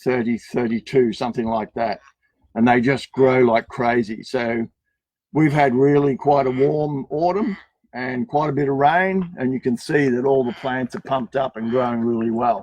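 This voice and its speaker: With a dry, close sound and no echo, a man speaks in a normal speaking voice at medium pitch, moderate pace and ordinary pitch variation. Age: 60s. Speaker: cactus nursery owner. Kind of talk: garden tour on a live stream.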